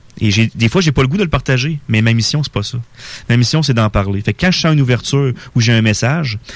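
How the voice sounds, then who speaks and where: Fairly quick pace and ordinary pitch variation. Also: man. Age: 40s. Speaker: spiritual guest. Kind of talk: radio interview. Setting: radio studio.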